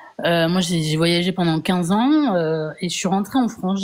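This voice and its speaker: A woman with a medium-pitched voice talks with ordinary pitch variation as noticeable background noise runs underneath. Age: 40s. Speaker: viewer asking a question. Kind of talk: casual chat. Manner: halting.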